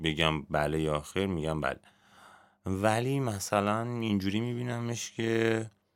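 A man at a fairly low pitch and very slow pace, with ordinary pitch variation, in a very clean recording with a silent background. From Iran, Garmsar (Semnan province). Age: 30s. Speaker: music journalist. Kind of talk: casual chat.

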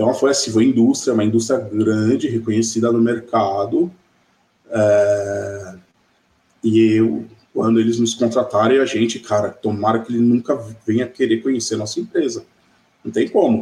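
A man speaks at a moderate pace with long, frequent pauses. His medium-pitched voice is dark and mellow, with fairly even intonation. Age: 40s. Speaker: e-commerce executive. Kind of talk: interview. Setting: live video stream.

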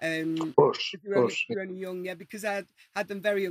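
A medium-pitched woman with a Manchester accent speaks in fairly even intonation, the sound dry and close with no echo. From Manchester, England. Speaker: singer. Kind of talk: casual interview chat.

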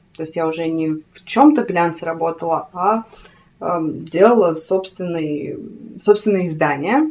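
A woman's fairly low voice with ordinary pitch variation at a fairly slow pace, against noticeable background noise. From Siberia, Krasnoyarsk. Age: 30s. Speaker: fashion writer and spiritual practitioner. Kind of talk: casual interview. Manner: talkative.

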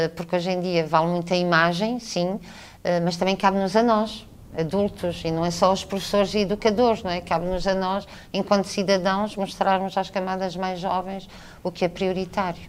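At a moderate pace, a woman speaks in a monotone, flat intonation at a medium pitch. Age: 50s. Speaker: theatre director and teacher. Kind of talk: radio interview. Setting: theatre stage backstage.

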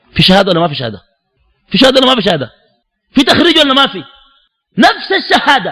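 With a Sudanese accent, a man uses a raised, projected voice and an animated tone, his pitch swinging very widely. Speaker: Islamic preacher. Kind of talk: religious lecture.

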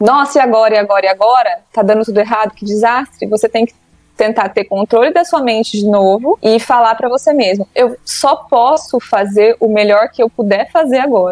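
Speaking at a fairly quick pace, a woman has a normal speaking voice with lively intonation. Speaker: psychologist. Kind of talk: casual interview chat.

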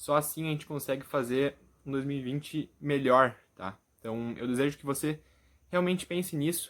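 A man talks in a normal speaking voice at a fairly high pitch and a moderate pace. His loudness swings widely while his pitch varies in an ordinary way. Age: 20s. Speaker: youtuber and motivational content creator. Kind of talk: motivational vlog address to camera.

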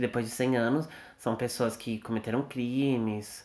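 A man talks at medium pitch. His intonation is monotone and flat. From Brazil. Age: 20s. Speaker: podcast host, medical student. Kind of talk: casual chat.

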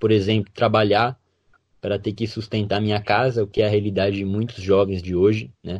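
This somewhat breathy voice is heard over a quiet background. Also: man. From western Santa Catarina, Brazil. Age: young. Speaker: medical student. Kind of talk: interview.

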